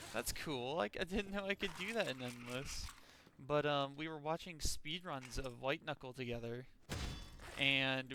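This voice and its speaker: With an American accent, a man speaks loudly at a fairly high pitch and a fairly slow pace, his tone bright and sharp. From Texas. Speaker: gaming streamer. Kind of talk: casual gameplay commentary. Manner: animated.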